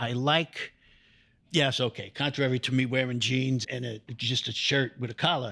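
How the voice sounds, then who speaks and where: Speaking in a New York accent, a man with a medium-pitched, bright, sharp tone keeps a moderate pace and fairly even intonation on a very clean recording with a silent background. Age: 60s. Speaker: real estate investor. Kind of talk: podcast interview.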